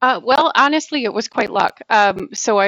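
A woman's plain, everyday voice with an American accent, at a moderate pace with ordinary pitch variation. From US, army family. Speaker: government historian. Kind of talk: interview.

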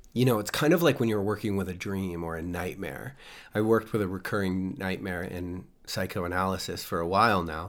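At a fairly quick pace, a man with a very deep, low pitch speaks with an American accent and ordinary pitch variation. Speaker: podcast host. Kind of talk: reflective solo monologue. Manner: reflective, thoughtful, conversational.

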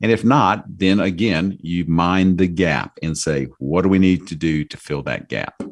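Over a quiet background, a man with a very deep, low voice speaks at a fairly slow pace with ordinary pitch variation. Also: hardly any pauses. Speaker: financial coach. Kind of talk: casual chat.

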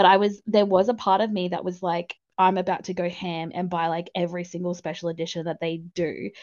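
A woman talks at a fairly quick pace with a fairly low pitch. Her intonation stays monotone and flat. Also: hardly any pauses. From Australia. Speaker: book community organizer. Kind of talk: casual chat.

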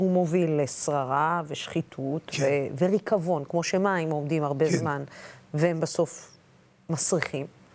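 Noticeable background noise sits behind a woman's very deep, low voice. She speaks fairly slowly with fairly even intonation and very even loudness. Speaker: TV interviewer. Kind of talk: interview.

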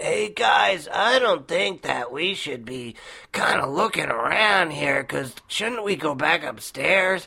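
A put-on character voice sits at a middle pitch. The delivery is fairly slow. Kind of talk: casual. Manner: lazy, hesitant, mocking.

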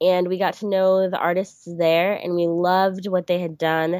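In a very clean recording with a silent background and a dry, close sound with no echo, a woman speaks slowly in a monotone, flat intonation. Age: 20s. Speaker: artist and small business owner. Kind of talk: interview. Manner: hesitant, many filler words.

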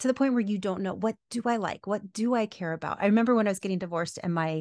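This is a normal speaking voice with ordinary pitch variation at a fairly quick pace. The sound is dry and close with no echo, and the background is quiet. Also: woman. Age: 40s. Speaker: podcaster and coach, former teacher. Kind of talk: interview conversation.

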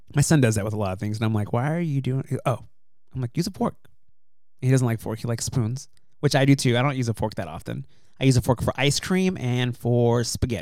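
This man talks at a very fast pace, his medium pitch moving with ordinary variation. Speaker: podcast host. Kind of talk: casual chat.

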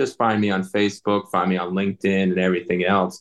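A man with a plain, everyday voice speaks in a fairly low pitch. His pace is fairly quick. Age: 40s. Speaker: military veteran and veteran coach. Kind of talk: interview.

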